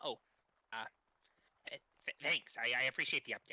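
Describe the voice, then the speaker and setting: Fairly quick delivery in a put-on character voice. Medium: actual play. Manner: halting, hesitant.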